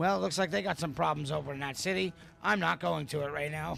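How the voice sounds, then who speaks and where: A man's raspy, fairly high put-on character voice at a very fast pace, with clear background noise. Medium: game stream. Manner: casual, laughing.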